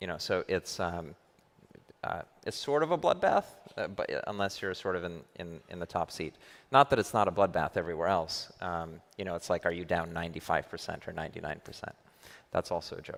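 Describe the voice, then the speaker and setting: A man's very deep, low voice in an American accent, fairly quick, with ordinary pitch variation, on a very clean recording with a silent background. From US, New York. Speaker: crypto venture investor. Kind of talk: conference panel discussion.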